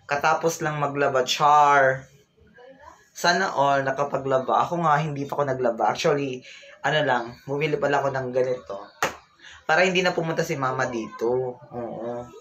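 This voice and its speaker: Clear background noise is present throughout. Over it, a man talks in a fairly high register. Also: fairly even intonation, moderate pace. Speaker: vlogger. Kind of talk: casual livestream chat. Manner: loud.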